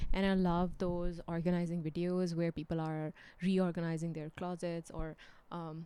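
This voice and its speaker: A woman with a fairly low pitch and a dark, mellow tone speaks in a monotone, flat way. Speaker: book vlogger. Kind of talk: casual vlog monologue. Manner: slow, low volume.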